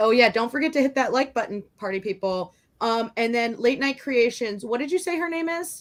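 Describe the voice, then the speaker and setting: A high-pitched woman with a Chicago accent and lively intonation at a fairly quick pace, in a very clean recording with a silent background. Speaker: online art show co-host. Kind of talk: casual chat on live stream. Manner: chatty, many fillers.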